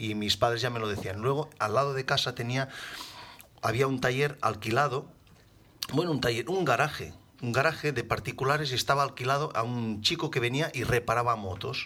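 A man's bright, sharp voice at a medium pitch, fairly quick in pace, with ordinary pitch variation. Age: 40s. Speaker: motorcycle accident survivor. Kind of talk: interview.

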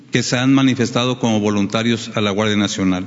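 This man's intonation stays fairly level as noticeable noise plays in the background. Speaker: military commander. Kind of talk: official briefing.

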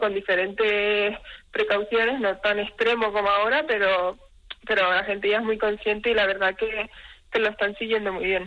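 Her voice is fairly high-pitched with a bright, sharp tone. The woman keeps a moderate pace. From Spain. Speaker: professional basketball player. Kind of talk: radio interview.

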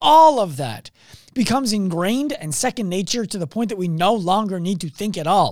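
Loud and animated, a man talks at a fairly quick pace in a high voice with lively intonation. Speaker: podcast host. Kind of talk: motivational monologue.

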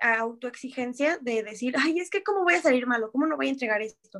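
A woman projects her voice in a bright, sharp tone. Her pitch swings very widely at a moderate pace. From Mexico. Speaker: professional american football player. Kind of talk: interview.

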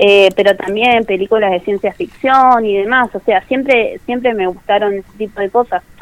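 With hardly any pauses, a woman talks at a moderate pace in a fairly high pitch. She has a plain, everyday voice with fairly even intonation. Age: 20s. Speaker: tourism graduate. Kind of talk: radio interview. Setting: phone call.

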